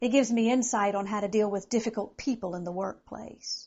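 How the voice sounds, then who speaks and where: A woman talks at a moderate pace in a normal speaking voice, fairly high in pitch with ordinary pitch variation. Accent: American. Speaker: motivational speaker and comedian. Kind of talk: direct address to event planners. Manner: upbeat, conversational.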